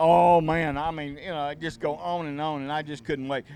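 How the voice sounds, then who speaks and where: In a Southern US accent, a man speaks at a fairly high pitch. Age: 70s. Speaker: tournament host. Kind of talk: casual chat.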